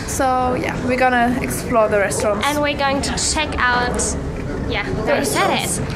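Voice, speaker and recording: Loud background noise fills the recording. The talking goes at a moderate pace. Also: woman, ordinary pitch variation. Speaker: vlogger. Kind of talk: casual vlog chat. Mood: light, slightly queasy. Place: boat. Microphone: phone near.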